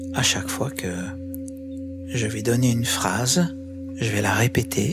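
Loud background noise surrounds a man who speaks at a fairly slow pace. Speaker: guided meditation and sound healing guide. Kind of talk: guided yoga nidra meditation. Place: home room. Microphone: studio mic.

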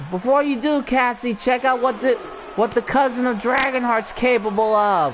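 Noticeable background noise runs through the clip. The speech moves at a moderate pace. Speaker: wrestling commentator. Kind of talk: live commentary.

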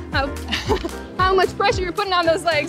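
Clear music plays behind a woman. The sound is dry, with no echo. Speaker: rowing instructor. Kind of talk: workout class instruction. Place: waterside.

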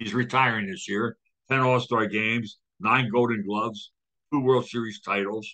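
With a bright, sharp tone, a man speaks at a moderate pace and fairly even intonation against a quiet background. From Philadelphia. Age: 80s. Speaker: podcast co-host. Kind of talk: casual chat. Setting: video call. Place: home room. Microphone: webcam.

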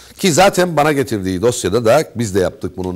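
Against a quiet background, a man talks at a fairly quick pace with very wide swings in pitch. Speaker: radio host. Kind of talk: interview. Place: studio.

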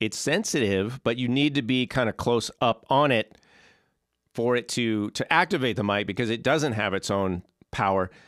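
Lively intonation marks a man speaking at a moderate pace. The background is quiet, and the sound is dry with no echo. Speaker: percussion teacher. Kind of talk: tutorial. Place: studio. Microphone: handheld.

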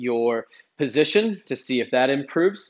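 The pace is moderate. The speaker is a man. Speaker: fitness coach. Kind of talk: tutorial. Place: garage. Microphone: camera far.

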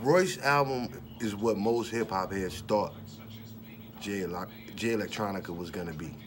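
A man's fairly low, relaxed voice at a fairly slow pace, with ordinary pitch variation, long, frequent pauses and light background noise. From Detroit, US. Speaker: rapper and vlogger; vlogger. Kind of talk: casual monologue. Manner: casual, relaxed. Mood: relaxed, opinionated.

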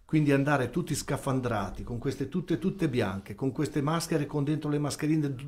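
A man talks at a fairly quick pace in a fairly high pitch. His voice is somewhat breathy, with ordinary pitch variation. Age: 60s. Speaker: volunteer ambulance association president; guest. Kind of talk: radio interview. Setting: radio studio. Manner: formal. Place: studio. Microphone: studio mic.

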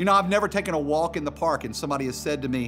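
Clear music plays in the background. A man is speaking. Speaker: pastor. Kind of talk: sermon. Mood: warm, humorous storytelling. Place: studio.

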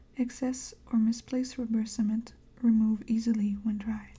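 A soft-spoken, somewhat breathy voice with a dark, mellow tone moves at a fairly slow pace with monotone, flat intonation. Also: woman. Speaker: ASMR crafter. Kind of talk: reading product instructions aloud. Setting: studio, close microphone. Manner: soft-spoken, gentle. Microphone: studio mic.

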